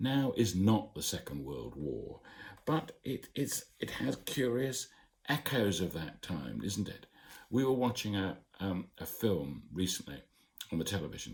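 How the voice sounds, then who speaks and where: A man's fairly low voice with vocal fry, very wide pitch swings, and a fairly slow pace. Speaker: broadcaster. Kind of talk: casual talk to camera. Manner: reassuring.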